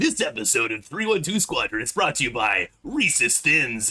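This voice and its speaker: Using a put-on character voice, a man speaks in a raised, projected voice at a moderate pace. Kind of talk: commercial announcer. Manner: peppy, salesy.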